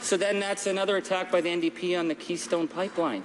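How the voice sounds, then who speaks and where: The speech comes at a very fast pace in an animated tone. Noticeable background noise runs behind it. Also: man. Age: 50s. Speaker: politician. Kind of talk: parliamentary speech. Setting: parliament chamber.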